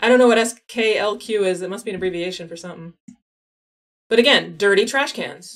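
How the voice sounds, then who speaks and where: Speaking at a fairly quick pace, a woman with a medium-pitched voice shows ordinary pitch variation and big swings in loudness. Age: 40s. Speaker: geography game streamer. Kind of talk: casual live stream chat. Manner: fast.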